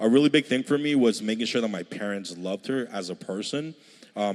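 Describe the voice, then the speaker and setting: An unremarkable speaking voice, a man's, fairly low in pitch, with ordinary pitch variation and a fairly quick pace. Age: 30s. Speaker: church creative director, panelist. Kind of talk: panel discussion.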